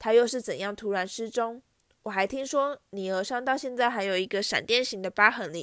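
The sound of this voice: The voice is an unforced reading voice with ordinary pitch variation. The background is quiet.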